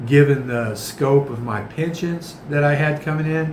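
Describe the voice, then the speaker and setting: A man with an American accent speaks at a fairly high pitch. Room echo is audible, and background noise is noticeable. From United States. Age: 60s. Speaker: vlogger. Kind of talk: casual vlog monologue.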